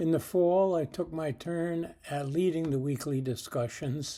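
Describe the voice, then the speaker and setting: At a fairly slow pace, a man with a fairly high pitch speaks in a dark, mellow tone and fairly even intonation. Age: 80s+. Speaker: church member leading daily prayer. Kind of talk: devotional talk.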